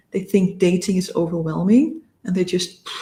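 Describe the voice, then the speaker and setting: A woman speaks with a non-native accent and a somewhat breathy voice. Her pace is fairly slow. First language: not English. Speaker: dating and relationship coach. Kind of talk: coaching talk to camera. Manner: halting at times, searching for words.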